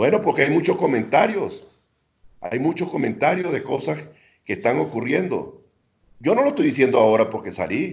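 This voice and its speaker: Vocal fry runs through a man's fairly quick speech. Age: 70s. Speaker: former minister and ambassador. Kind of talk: interview.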